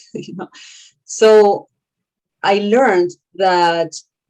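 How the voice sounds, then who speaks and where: With ordinary pitch variation, a woman talks in a dark, mellow tone. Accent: Spanish. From Argentina. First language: Spanish. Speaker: author and consultant. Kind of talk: panel discussion.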